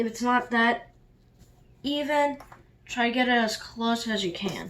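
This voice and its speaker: At a fairly slow pace, a woman speaks in a normal speaking voice, fairly high in pitch with fairly even intonation. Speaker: origami tutorial maker. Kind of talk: tutorial. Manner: casual with fillers.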